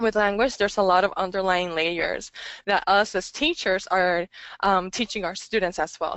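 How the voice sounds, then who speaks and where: Speaking at a moderate pace, a woman with a Spanish accent talks at a medium pitch. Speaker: English language teacher and webinar presenter. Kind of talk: webinar presentation. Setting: online webinar. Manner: hesitant, many fillers.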